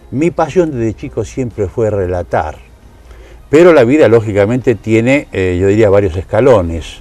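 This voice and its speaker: A man's medium-pitched voice in a Rioplatense accent, moderate in pace with lively intonation, over music in the background. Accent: Argentine Rioplatense Spanish. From Argentina, Buenos Aires province (Tres Arroyos). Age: 70s. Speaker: sports announcer, interviewee. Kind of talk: interview.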